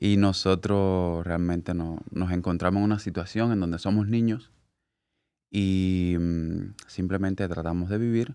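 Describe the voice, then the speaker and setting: Against a quiet background, a man speaks at a fairly low pitch. His pace is fairly slow, and his pitch varies in an ordinary way. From Cuba, Havana; Cuba. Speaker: hairstylist; podcast guest. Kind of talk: casual interview. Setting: studio. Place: studio. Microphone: studio mic.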